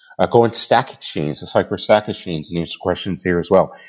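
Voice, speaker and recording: A man with an American accent has a normal speaking voice. He talks at a fairly quick pace. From Boston, US. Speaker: software development manager. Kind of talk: interview.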